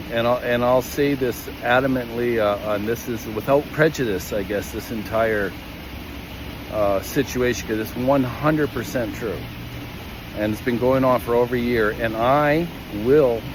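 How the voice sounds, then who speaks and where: A man's medium-pitched voice at a moderate pace, fairly even intonation, and noticeable background noise. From Calgary, Canada. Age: 60s. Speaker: equipment operator. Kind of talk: personal testimony. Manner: halting, many fillers and repetitions.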